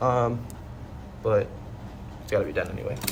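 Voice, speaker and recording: The speaker is a man. His recording carries noticeable background noise and audible room echo. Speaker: maintenance worker vlogger. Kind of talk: casual vlog while working. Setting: empty apartment while working. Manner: many filler ums. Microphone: echoey room.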